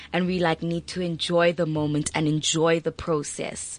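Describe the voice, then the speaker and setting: Dry and close with no echo, the recording captures a woman with a fairly low pitch. She uses an ordinary speaking voice at a moderate pace. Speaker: student. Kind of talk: casual chat. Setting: studio.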